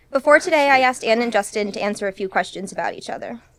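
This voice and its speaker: A woman with fairly high pitch talks at a fairly quick pace. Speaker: wedding officiant, cousin of the groom. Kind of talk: wedding ceremony address. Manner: fast; emotional, near tears.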